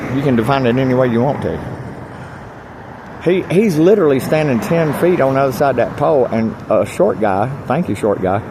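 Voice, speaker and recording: With audible room echo and noticeable background noise, a man of medium pitch speaks fairly quickly with lively intonation. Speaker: homeless video blogger. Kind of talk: casual vlog monologue. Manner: loud; animated.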